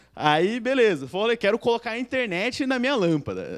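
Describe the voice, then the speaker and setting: A man is speaking. The background is quiet. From Brazil, Sorocaba (São Paulo state); São Paulo state, Brazil. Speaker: software developer; conference speaker. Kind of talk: conference talk. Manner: casual slangy; fast. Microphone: handheld.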